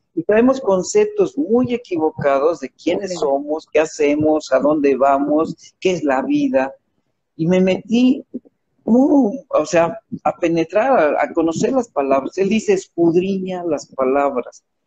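A man with a high pitch and a dark, mellow tone speaks at a very slow pace with very wide pitch swings, in a dry, close sound with no echo. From Mexico. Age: 60s. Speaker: author and motivational speaker. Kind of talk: interview about his book.

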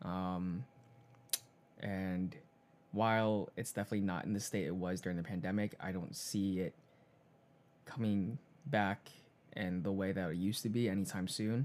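A man with an American accent speaks in a fairly low voice with fairly even intonation at a moderate pace, leaving long, frequent pauses. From Chinese American, US. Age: 20s. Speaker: podcast co-host. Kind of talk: casual chat.

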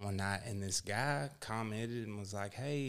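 The very clean recording, silent in the background, captures a man with a fairly low pitch and fairly even intonation. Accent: Texan. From Texas. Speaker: former Marine, social media creator. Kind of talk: casual chat.

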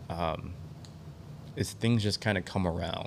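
Here a man speaks with an Upper Midwest accent. His voice is very deep and low, with ordinary pitch variation. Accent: Upper Midwest American. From Michigan. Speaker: archery event organizer. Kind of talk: podcast interview. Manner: halting, many fillers.

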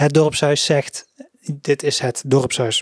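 Speaking at a very slow pace, a man with a fairly high pitch keeps a monotone, flat intonation. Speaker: local news podcast host. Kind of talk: casual news roundup. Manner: hesitant, many filler sounds.

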